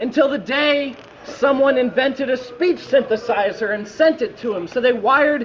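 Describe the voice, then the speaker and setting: A man's extremely high-pitched voice with ordinary pitch variation, over noticeable background noise. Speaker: slam poet. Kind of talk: slam poetry performance.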